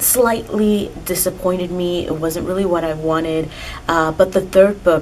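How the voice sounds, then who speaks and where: A woman speaks at a fairly slow pace with a fairly low pitch and fairly even intonation, with noticeable background noise. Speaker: book reviewer. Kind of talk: casual talk to camera. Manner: monotone.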